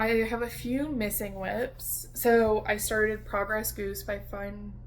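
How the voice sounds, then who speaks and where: In an American accent, a woman talks at a very slow pace, with audible room echo. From US East Coast, Washington DC. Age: 20s. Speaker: cross-stitch video creator. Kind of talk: casual chat. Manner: casual with many fillers.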